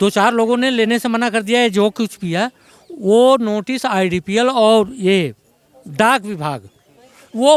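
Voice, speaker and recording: A man talks here. His pitch is high and varies in an ordinary way. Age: 70s. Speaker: retired resident facing eviction. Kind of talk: street interview.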